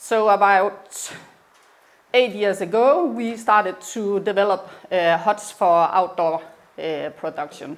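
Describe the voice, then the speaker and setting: Speaking at a very slow pace, a woman with a Danish accent shows ordinary pitch variation. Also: medium pitch for a woman. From Denmark. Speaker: business owner. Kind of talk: presentation. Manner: halting.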